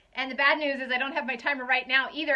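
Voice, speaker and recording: Her high-pitched voice is raised and projected, with a bright, sharp tone, as the woman talks at a very fast pace. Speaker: essential oils seller. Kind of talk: live stream chat. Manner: loud.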